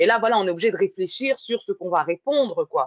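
An ordinary speaking voice from a woman, fairly high in pitch, at a moderate pace, with a dry, close sound and no echo. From France, working-class neighborhood. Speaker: podcast host. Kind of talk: casual chat.

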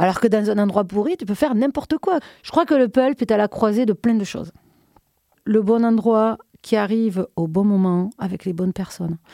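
In a southern French accent, a woman with a fairly high pitch and a dark, mellow tone speaks at a moderate pace with ordinary pitch variation, the sound dry and close with no echo. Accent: southern French, pronounced. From southern France, Minervois near Carcassonne. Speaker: club night organizer. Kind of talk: casual interview.

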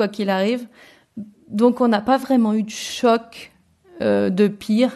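Speaking at a fairly slow pace, a woman with an ordinary speaking voice keeps a fairly high pitch and fairly even intonation. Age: 30s. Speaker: returned expat interviewee. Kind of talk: casual interview chat.

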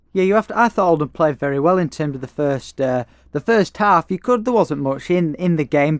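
A plain, everyday voice moves at a fairly quick pace with lively intonation. The sound is dry and close, with no echo. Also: man. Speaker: football podcaster. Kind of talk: casual sports debate.

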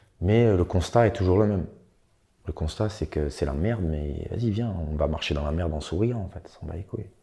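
A man's very deep, low, somewhat breathy voice with a dark, mellow tone, moderate pace, ordinary pitch variation and long, frequent pauses. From eastern France, Franche-Comté. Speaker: rapper. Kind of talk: interview.

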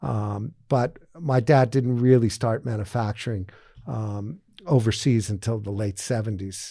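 A man's somewhat breathy, dark, mellow voice at medium pitch, with ordinary pitch variation and a fairly slow pace, on a very clean recording with a silent background. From Massachusetts, outside Boston. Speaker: fashion executive and investor. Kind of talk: interview. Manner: halting, many fillers.

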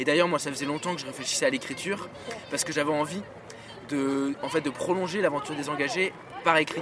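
A man with a fairly high voice speaks very fast, with ordinary pitch variation. Long, frequent pauses break up his speech, and background noise is noticeable. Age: 20s. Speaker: student and youth movement founder. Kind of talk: casual interview chat. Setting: outdoors in a park.

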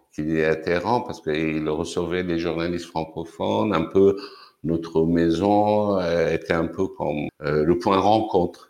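Very deep, low-pitched man's voice at a fairly slow pace, with ordinary pitch variation. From Iran, Tehran. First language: Persian (speaking French). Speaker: cultural venue director. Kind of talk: interview.

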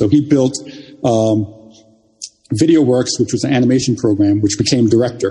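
A man speaks at a fairly quick pace with a medium pitch and ordinary pitch variation. His voice is somewhat breathy. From Jamaica. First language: Jamaican Patois. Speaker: software engineer and artist. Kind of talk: interview conversation. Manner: halting, repeats words.

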